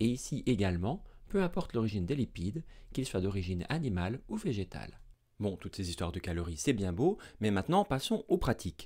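Over a quiet background, a man speaks at a fairly quick pace with a dark, mellow tone. His fairly low voice moves in very wide pitch swings. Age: 30s. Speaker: medical doctor and science educator; science educator. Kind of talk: educational video lecture. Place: studio. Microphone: studio mic.

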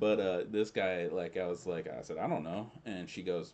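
A man speaks with a Southern US accent. He keeps a moderate pace. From US South. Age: 30s. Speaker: friend of the host. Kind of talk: casual chat. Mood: relaxed, joking. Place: home room. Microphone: studio mic.

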